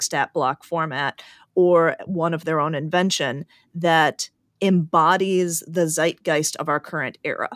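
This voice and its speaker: In a very clean recording with a silent background and a dry, close sound with no echo, a woman speaks in a normal speaking voice. Her pitch is fairly low with ordinary variation, and her pace is fairly slow. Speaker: podcast co-host. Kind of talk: casual interview chat.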